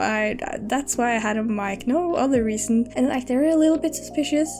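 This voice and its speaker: A woman is speaking. Her voice sits high in pitch. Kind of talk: casual gameplay commentary.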